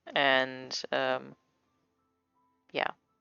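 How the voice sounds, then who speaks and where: A woman speaks with a non-native accent. Music plays in the background. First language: not English. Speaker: comic artist streamer. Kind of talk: casual livestream chat while drawing. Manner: halting, stumbles over words.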